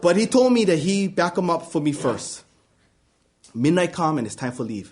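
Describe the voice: At a moderate pace, a man with a fairly high pitch speaks with big pitch swings.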